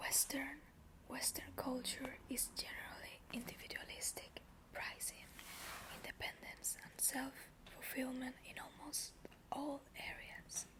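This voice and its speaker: Whispering at a very slow pace with long, frequent pauses over noticeable background noise. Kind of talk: reading aloud from a book with commentary. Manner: whispered.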